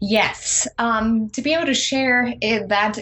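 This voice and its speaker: A woman speaks with a German accent. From eastern Germany. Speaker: life coach and author. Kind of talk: interview. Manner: quieter than usual.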